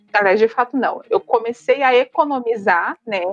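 A woman with a plain, everyday voice at a moderate pace, in a dry, close sound with no echo. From São Paulo, Brazil. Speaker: human resources professional, solo traveler. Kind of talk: podcast interview.

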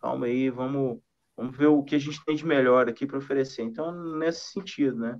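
A man's ordinary speaking voice, fairly high in pitch, at a fairly quick pace with fairly even intonation. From Minas Gerais, Brazil. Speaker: singer-songwriter and guitarist. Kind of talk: casual interview chat. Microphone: weak connection.

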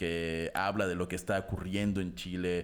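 The speaker is a man with a Mexican accent. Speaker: podcast host. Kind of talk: casual chat.

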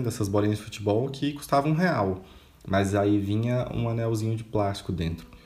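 Against noticeable background noise and audible room echo, a man speaks at a moderate pace. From Minas Gerais interior, Brazil. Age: 20s. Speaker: podcaster. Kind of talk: personal monologue. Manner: casual, conversational.

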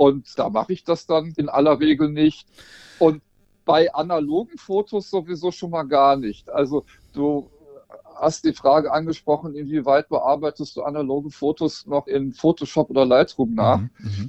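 Using a normal speaking voice, the man holds a moderate pace, his fairly high pitch showing ordinary pitch variation. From Rhineland, western Germany. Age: 50s. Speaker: portrait photographer. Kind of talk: casual interview.

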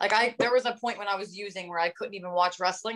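In an American accent, a woman speaks at a medium pitch with fairly even intonation. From New Jersey (North Jersey). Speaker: professional wrestler. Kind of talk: interview.

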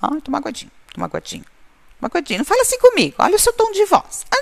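This put-on character voice sits at an extremely high pitch and sounds whiny. The words come at a very fast pace. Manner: whiny, mocking.

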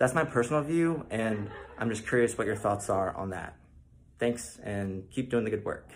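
Lively intonation marks this man's speech. He goes at a moderate speed, his voice somewhat breathy. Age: 30s. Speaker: viewer asking a video question. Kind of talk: recorded video question.

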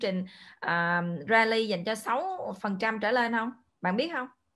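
A woman speaks in an ordinary speaking voice. Her pitch is fairly high and her intonation lively. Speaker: event moderator and interpreter. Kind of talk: consecutive interpretation.

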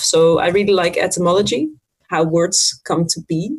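A woman with a Dutch accent at a medium pitch, with a very slow pace and fairly even intonation. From Netherlands, Friesland. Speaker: language teacher. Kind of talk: interview.

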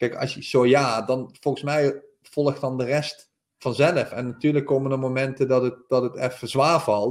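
A medium-pitched man at a moderate pace with monotone, flat intonation. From Netherlands, North Limburg. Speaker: professional footballer. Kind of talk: interview. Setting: remote call.

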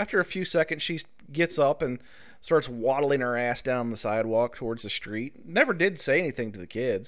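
A man with a plain, everyday voice talks at a fairly quick pace and medium pitch. His intonation is lively and his loudness swings widely. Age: middle-aged. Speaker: podcast host. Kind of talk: casual chat.

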